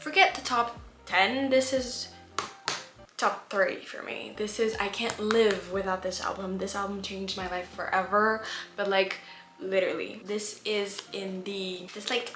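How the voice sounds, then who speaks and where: Woman with a non-native accent and medium pitch, animated tone at a fairly slow pace, with audible room echo and music in the background. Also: big swings in loudness. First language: not English. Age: 20s. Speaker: vlogger. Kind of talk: casual chat.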